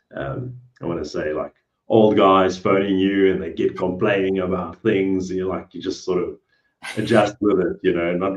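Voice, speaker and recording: At a moderate pace, a man talks in a very deep, low pitch. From South Africa. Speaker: cleaning business owner. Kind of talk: interview.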